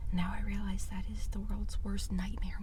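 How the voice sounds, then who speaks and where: Someone is whispering at a fairly quick pace. Noticeable background noise sits behind the voice. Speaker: ASMR creator. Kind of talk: whispered eating ramble. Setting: in a car. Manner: soft-spoken.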